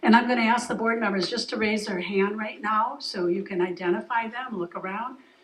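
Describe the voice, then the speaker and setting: Amid noticeable background noise, a woman with an American accent speaks at a fairly quick pace with ordinary pitch variation. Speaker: foundation board member. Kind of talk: speech at community event. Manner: loud.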